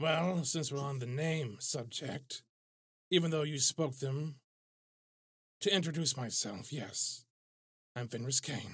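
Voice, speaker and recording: A man performs a put-on character voice at a fairly high pitch. He goes at a fairly slow pace with long, frequent pauses. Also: ordinary pitch variation. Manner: dry, laconic.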